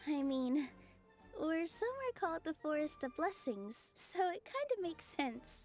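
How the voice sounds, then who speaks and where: A put-on character voice, female-sounding and extremely high, carries a warm tone at a moderate pace. Clear music plays in the background. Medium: video game. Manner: soft, warm.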